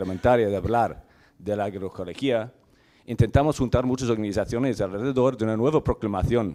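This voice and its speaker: A man talks at a medium pitch in a dark, mellow tone. The recording is very clean, with a silent background. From Ireland. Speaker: farmer. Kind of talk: conference talk. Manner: fast; halting.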